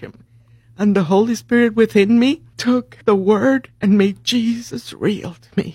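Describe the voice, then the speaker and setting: A woman's somewhat breathy voice holds a medium pitch and fairly even intonation. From Puerto Rico. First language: Spanish. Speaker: nurse. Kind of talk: casual chat.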